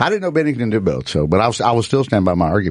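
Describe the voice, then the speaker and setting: The speaker has a Southern US accent. The intonation is lively. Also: man. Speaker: comedian. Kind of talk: casual chat. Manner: animated, profane ranting.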